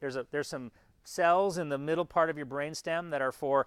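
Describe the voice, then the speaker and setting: With an unremarkable speaking voice, a man talks at a fairly high pitch with ordinary pitch variation in a very clean recording with a silent background. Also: dry, close sound with no echo. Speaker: university lecturer in physical therapy. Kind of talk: lecture.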